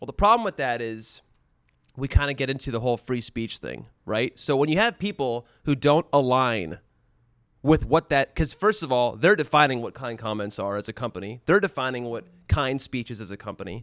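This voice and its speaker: An unremarkable speaking voice from a man at medium pitch and a fairly quick pace, dry and close with no echo, on a very clean recording with a silent background. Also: lively intonation. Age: 30s. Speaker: former tech company studio lead. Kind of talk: casual chat.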